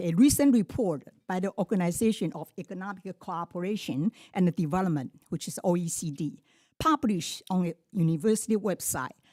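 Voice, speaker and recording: A woman's medium-pitched voice with a non-native accent, lively intonation and a dark, mellow tone at a moderate pace, in a dry, close sound with no echo on a very clean recording with a silent background. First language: not English. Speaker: public commenter. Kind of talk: public comment speech. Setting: public board meeting. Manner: halting.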